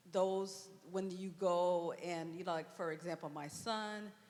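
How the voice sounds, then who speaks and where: A woman's fairly low voice, very slow, with fairly even intonation. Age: 60s. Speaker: audience member. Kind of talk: audience question. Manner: halting.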